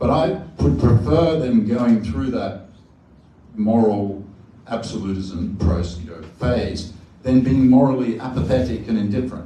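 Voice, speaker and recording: A man with an Australian accent talks at a fairly slow pace, with lively intonation and big swings in loudness. Noticeable background noise and audible room echo are present. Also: medium pitch for a man. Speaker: professor. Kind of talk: panel discussion Q&A.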